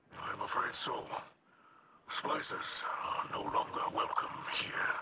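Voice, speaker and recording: In a put-on character voice, the speaker sounds extremely high-pitched and raspy, moving at a fairly slow pace in a flat monotone. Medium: video game. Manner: measured, formal, solemn.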